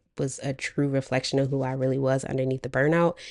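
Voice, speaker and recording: A woman's dark, mellow tone at a very deep, low pitch. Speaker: former nurse, career coach vlogger. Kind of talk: casual monologue to camera.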